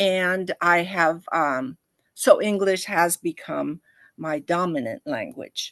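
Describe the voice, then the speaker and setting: Very slow delivery with lively intonation, in a dry, close sound with no echo. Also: woman, fairly low pitch for a woman, quiet background. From Costa Rica, raised in California from age nine. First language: Spanish. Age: 70s. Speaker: retired Spanish professor. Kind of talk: interview conversation. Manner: halting.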